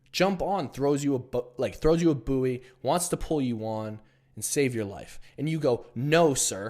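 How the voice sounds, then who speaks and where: A man with an unremarkable speaking voice, fairly high in pitch, at a fairly slow pace with ordinary pitch variation, on a very clean recording with a silent background. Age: 20s. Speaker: online business coach. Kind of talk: motivational talk to camera. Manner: casual, blunt.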